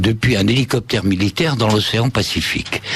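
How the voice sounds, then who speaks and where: Background noise is noticeable. Under it, a man talks at a moderate pace. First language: Spanish (speaking French). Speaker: author and former senior reporter. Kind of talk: radio interview.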